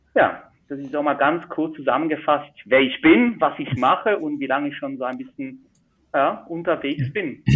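A man talks at a moderate pace with ordinary pitch variation and big swings in loudness. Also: fairly high pitch for a man. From Switzerland. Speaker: magician. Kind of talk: casual interview.

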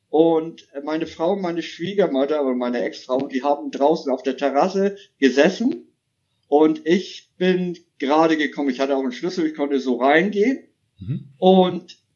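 Here a man talks with a high pitch. His pace is moderate and his pitch variation ordinary. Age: 50s. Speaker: caller. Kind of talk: testimony.

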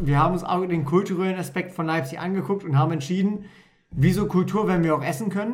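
The man's voice is high and fairly quick, with ordinary pitch variation. Room echo is audible. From Lower Saxony, Germany (Wolfenbüttel). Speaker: podcast co-host. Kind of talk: casual chat.

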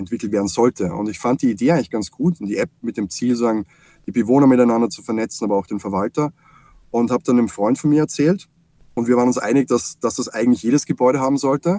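A man with an Austrian accent talks at a very fast pace in a dark, mellow tone with ordinary pitch variation, the sound dry and close with no echo. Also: medium pitch for a man. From Austria, Salzburg. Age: 40s. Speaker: software company CEO. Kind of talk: interview.

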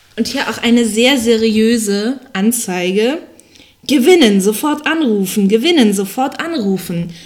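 Speaking at a fairly slow pace with a fairly high pitch, this woman has a normal speaking voice. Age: 20s. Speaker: podcast co-host. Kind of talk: casual chat. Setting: home recording in high-ceilinged old flat. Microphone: poor mic, room echo.

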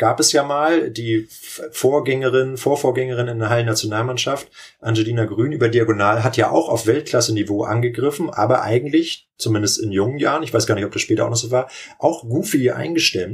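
This man's voice is somewhat breathy. He talks fairly quickly, with ordinary pitch variation. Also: medium pitch for a man. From northern Germany, Lübeck area. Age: 30s. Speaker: volleyball coach and teacher. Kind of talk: podcast interview.

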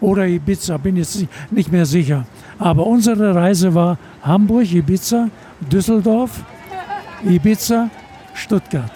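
Amid noticeable background noise, a man with a high pitch speaks fairly slowly with long, frequent pauses, very even loudness and ordinary pitch variation. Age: 80s+. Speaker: retired airline captain. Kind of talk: interview. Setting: on board an aircraft.

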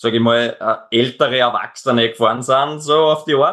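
Monotone, flat intonation in an Upper Austrian accent at a moderate pace. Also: man. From Upper Austria, near Linz. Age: 20s. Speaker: extreme endurance athlete. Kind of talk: interview. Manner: halting, many repetitions.

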